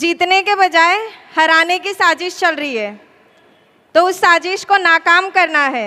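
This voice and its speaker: Her extremely high voice carries a gentle tone, and the woman's pitch varies in an ordinary way. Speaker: political candidate, lawyer. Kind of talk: campaign rally speech. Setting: stage with audience.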